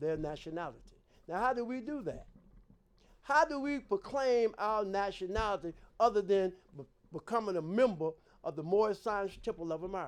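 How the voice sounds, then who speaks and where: A man with a high pitch speaks at a moderate pace, his intonation lively. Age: 70s. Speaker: religious leader and show host. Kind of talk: religious teaching talk. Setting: community media studio.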